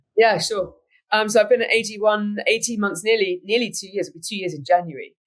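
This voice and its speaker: A woman speaks at a fairly high pitch in a British accent, with ordinary pitch variation. Her loudness swings widely. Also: fairly quick pace. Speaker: business executive. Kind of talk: interview.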